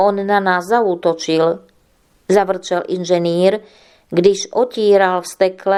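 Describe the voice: Plain reading aloud moves along with fairly even intonation.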